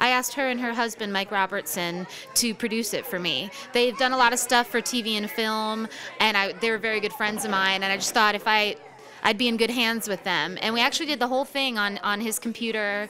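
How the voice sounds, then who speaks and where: With an American accent, a woman uses a normal speaking voice at a fairly high pitch, a fairly quick pace and fairly even intonation. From New York. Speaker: singer-songwriter. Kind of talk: radio interview. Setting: live radio broadcast from a cafe.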